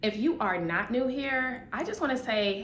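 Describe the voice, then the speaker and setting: A woman speaks with an American accent. Noticeable background noise and audible room echo fill the recording. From US Midwest, Chicago. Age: 20s. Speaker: vlogger, nurse. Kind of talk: casual vlog to camera.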